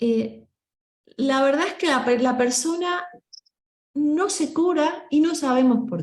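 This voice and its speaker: A woman talks in a Rioplatense accent. Her pace is very slow. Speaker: voice coach. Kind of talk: workshop discussion. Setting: group meeting.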